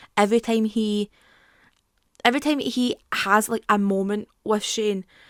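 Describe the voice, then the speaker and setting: Fairly high-pitched woman with a Scottish accent, fairly even intonation, dry, close sound with no echo. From Scotland. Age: 20s. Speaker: YouTuber. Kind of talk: casual talk to camera, TV show commentary.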